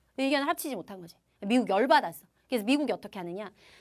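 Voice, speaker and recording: A woman's animated voice with a bright, sharp tone. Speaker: history teacher. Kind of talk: lecture.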